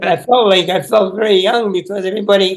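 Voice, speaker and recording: The pace is moderate as a man speaks. He keeps his intonation fairly even. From Quebec, east end of Montreal. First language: French. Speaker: author. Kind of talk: interview.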